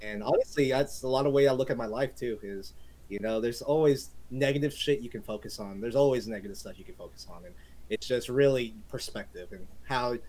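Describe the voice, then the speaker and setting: Energetic in tone, a man speaks at a fairly quick pace with big swings in loudness. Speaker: gaming streamer. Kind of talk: casual podcast chat. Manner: loud, energetic.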